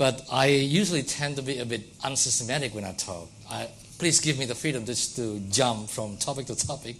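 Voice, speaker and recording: At a fairly quick pace, a man at medium pitch talks with ordinary pitch variation amid audible room echo. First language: Indonesian. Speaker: academic lecturer. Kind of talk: lecture. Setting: lecture hall with audience.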